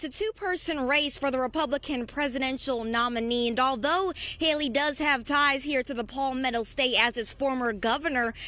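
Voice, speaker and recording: In a raised, projected voice, a woman speaks with hardly any pauses. Her tone is bright and sharp, high in pitch with ordinary variation. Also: moderate pace. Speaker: TV news reporter. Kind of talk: TV news reporter package and live shot.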